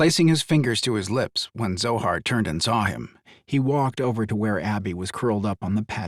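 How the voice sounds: What you hear is a natural reading voice.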